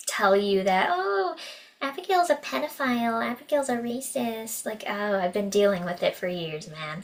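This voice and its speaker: With lively intonation, a woman delivers her words fairly slowly. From Canada. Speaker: actress and musician. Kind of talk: casual interview chat.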